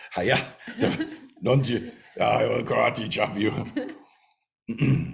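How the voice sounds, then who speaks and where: A man's put-on character voice, rumbling and raspy, at a very slow pace. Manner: mock threatening, comic.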